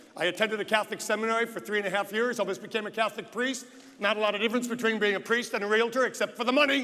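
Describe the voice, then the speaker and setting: A man's raised, projected voice with an American accent, a fairly quick pace, and noticeable background noise. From United States. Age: 60s. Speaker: real estate agent and conference speaker. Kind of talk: motivational speech. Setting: stage with audience.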